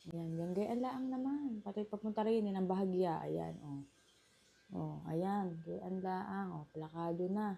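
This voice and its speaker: A woman speaks at a fairly slow pace in a medium pitch. Her tone is dark and mellow, with ordinary pitch variation. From Batangas, Philippines. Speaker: vlogger. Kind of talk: makeup tutorial talk to camera. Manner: exaggerated regional accent, emphatic.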